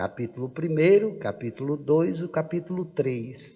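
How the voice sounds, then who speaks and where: This man speaks with lively intonation. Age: middle-aged. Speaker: pastor. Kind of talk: sermon. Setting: church service livestream. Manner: animated.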